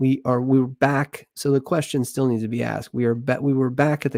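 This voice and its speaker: A man with a normal speaking voice talks at a moderate pace and medium pitch, his voice dry and close with no echo on a very clean recording over a silent background. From United States. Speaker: football YouTuber. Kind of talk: casual match review.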